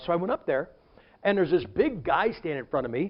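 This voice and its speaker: Animated in tone, a man with an American accent talks at a very fast pace. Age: 60s. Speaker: preacher. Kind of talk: sermon.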